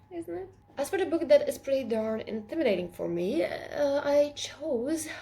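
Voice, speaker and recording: Noticeable background noise accompanies speech delivered fairly slowly. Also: woman. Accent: Latvian. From Latvia. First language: Latvian. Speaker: book vlogger. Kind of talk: casual chat.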